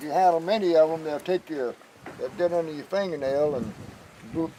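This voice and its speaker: Talking at a fairly quick pace, a man with an American accent and a fairly high pitch shows ordinary pitch variation and big swings in loudness, with noticeable background noise behind him. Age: 80s+. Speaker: retiree. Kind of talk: on-location TV interview.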